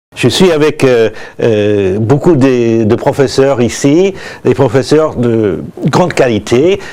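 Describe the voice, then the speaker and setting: A man with an American accent, medium pitch and lively intonation, speaking at a very slow pace over noticeable background noise. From US, New York. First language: English (speaking French). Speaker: business school director. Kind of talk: promotional presentation. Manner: halting, many hesitations.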